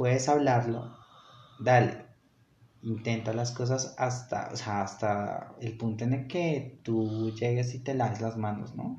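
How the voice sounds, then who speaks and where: Audible room echo surrounds a man who speaks very slowly at a medium pitch in a flat monotone. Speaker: podcast host. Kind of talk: casual chat. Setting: outdoor market.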